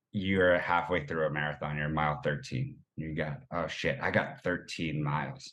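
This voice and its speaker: An energetic man with an American accent at a fairly slow pace. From Boston, US. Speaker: running community founder. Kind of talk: casual interview chat.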